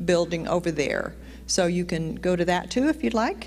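A woman talks with vocal fry and ordinary pitch variation. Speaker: church announcer. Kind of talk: church announcements. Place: church. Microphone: handheld.

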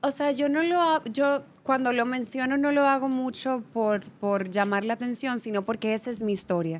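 A woman's high-pitched voice at a moderate pace with ordinary pitch variation. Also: hardly any pauses. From Dominican Republic. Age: 20s. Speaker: model and actress; actress. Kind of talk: casual interview. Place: studio. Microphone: studio mic.

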